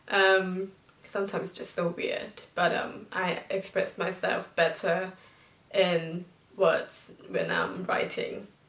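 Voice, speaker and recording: A woman talks at a very slow pace. Noticeable background noise can be heard behind her. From Thailand, Bangkok. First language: Thai. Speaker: vlogger. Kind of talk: casual vlog talk to camera. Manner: halting, many fillers.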